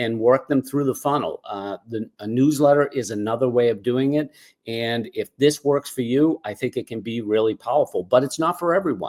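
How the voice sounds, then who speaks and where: With a Boston accent, a man talks at a moderate pace and medium pitch, with ordinary pitch variation, hardly any pauses, and a dry, close sound with no echo. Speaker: cause marketing consultant. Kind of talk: webinar presentation. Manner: casual, filler words.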